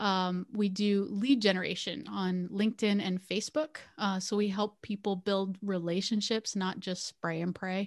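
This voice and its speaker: Against a quiet background, a woman with an American accent uses an ordinary speaking voice at medium pitch, moderate pace and fairly even intonation. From US East Coast, Pennsylvania. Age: 40s. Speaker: entrepreneur and stroke survivor. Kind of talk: interview.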